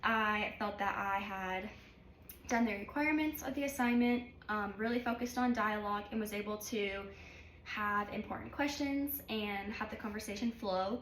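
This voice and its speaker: A woman with a fairly high pitch is heard over noticeable background noise, with audible room echo. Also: ordinary pitch variation, moderate pace. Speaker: college student and healthcare worker. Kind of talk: self-evaluation vlog. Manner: filler-heavy.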